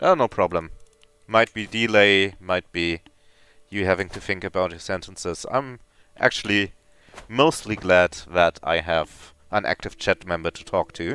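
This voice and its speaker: Delivered at a fairly slow pace, the voice has a bright, sharp tone and a dry, close sound with no echo. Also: man, very deep, low pitch for a man, ordinary pitch variation, big swings in loudness, very clean recording, silent background. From Germany. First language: German. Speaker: video game streamer. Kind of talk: live gameplay commentary. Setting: live stream with chat.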